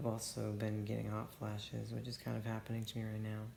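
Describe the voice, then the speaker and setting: A man's voice with audible room echo. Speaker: vlogger documenting detransition. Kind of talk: personal video diary. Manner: halting.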